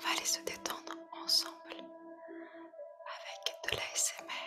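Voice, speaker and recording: A woman whispering at a very slow pace over clear music in the background. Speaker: meditation guide. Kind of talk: ASMR guided meditation. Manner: whispered; soft-spoken, slow.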